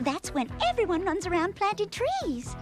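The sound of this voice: A squeaky, female-sounding cartoonish character voice at an extremely high pitch plays over clear background noise. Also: moderate pace.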